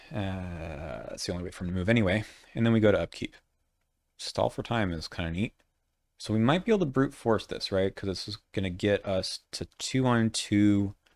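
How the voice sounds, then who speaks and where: A man with an unremarkable speaking voice, fairly low in pitch, at a fairly quick pace with ordinary pitch variation, in a very clean recording with a silent background and a dry, close sound with no echo. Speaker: board game content creator. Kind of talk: gameplay commentary.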